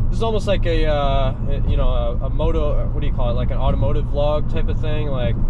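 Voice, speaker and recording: Loud background noise sits under a man speaking at a moderate pace, the sound itself dry with no echo. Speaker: vlogger. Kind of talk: casual vlog chat. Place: car. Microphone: camera far.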